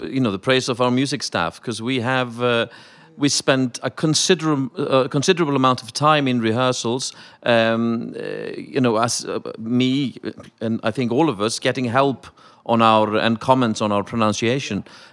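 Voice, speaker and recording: A man's medium-pitched voice moves at a moderate speed with ordinary rises and falls in pitch. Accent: slight Welsh. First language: Icelandic. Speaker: opera singer. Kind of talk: panel discussion.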